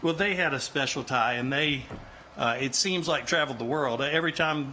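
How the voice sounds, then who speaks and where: Using an unremarkable speaking voice, a man keeps a moderate pace and ordinary pitch variation. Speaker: nephew giving a funeral eulogy. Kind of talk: funeral eulogy, spoken to an audience. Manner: sincere, conversational, with frequent filler words.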